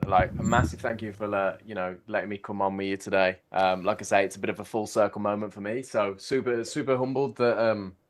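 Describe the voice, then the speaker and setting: With a Birmingham accent, a man talks at a fairly quick pace with hardly any pauses. His voice is fairly low in pitch, and his intonation stays fairly even. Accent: Brummie. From Birmingham, England. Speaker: systematic trader. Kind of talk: casual interview chat. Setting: livestream. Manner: fast.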